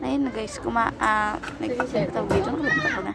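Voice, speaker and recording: A fairly high-pitched woman at a moderate pace, very wide pitch swings, noticeable background noise behind her. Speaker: vlogger. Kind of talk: vlog voiceover narration. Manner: casual, chatty.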